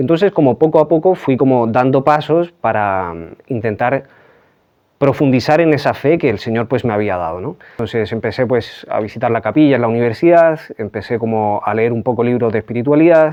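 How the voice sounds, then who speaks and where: A man talks at a fairly quick pace. He has a slight Chilean accent. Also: medium pitch for a man, lively intonation. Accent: Chilean, slight, after twelve years in Spain. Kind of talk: interview testimony. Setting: remote interview from Pamplona. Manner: hesitant, many fillers.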